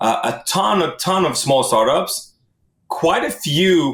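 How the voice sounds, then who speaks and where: Very wide pitch swings from a man with an Israeli accent. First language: Hebrew. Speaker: tech product executive. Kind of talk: casual interview.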